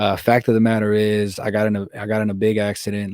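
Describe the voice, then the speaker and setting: A man speaks very fast in a fairly low, monotone voice with flat intonation. The recording is very clean with a silent background and a dry, close sound with no echo. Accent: American. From US Pacific Northwest, Tacoma. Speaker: reggaeton musician. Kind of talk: podcast interview. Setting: in person.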